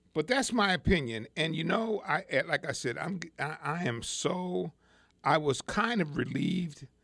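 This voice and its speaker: A man is speaking. His intonation is lively. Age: 60s. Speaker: radio talk show host. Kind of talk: radio talk show monologue. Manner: halting, many repetitions and fillers.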